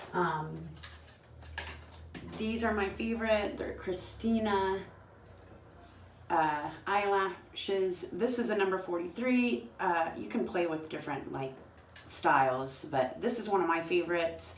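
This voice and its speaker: Fairly slow speech from a woman at medium pitch, with long, frequent pauses and noticeable background noise. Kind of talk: makeup tutorial talk to camera. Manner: casual, hesitant.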